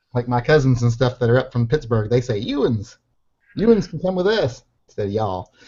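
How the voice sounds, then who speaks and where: Somewhat breathy, a man talks at medium pitch and a moderate pace with lively intonation. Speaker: online show host. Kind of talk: casual chat.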